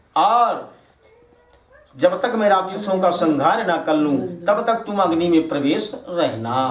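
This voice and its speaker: A man with a Bagheli accent talks in a high pitch, with lively intonation and very even loudness, over noticeable background noise. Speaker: religious storyteller. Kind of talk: devotional katha narration.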